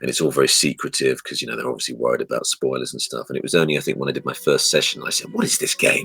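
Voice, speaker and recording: Someone with an RP accent talks at a very fast pace against noticeable background noise. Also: man. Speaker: voice actor. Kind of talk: interview. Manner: hesitant, many fillers.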